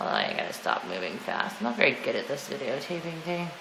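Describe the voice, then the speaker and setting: A woman talks fairly slowly amid audible room echo and noticeable background noise. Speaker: homeowner giving a house tour. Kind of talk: casual home video walkthrough. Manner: casual, rambling narration.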